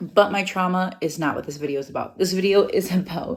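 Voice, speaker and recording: Music plays in the background. The speaker, with an American accent, talks at a fairly quick pace. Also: woman. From US Midwest, Wisconsin. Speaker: travel vlogger. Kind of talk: casual unscripted vlog monologue. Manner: fast; chatty, conversational.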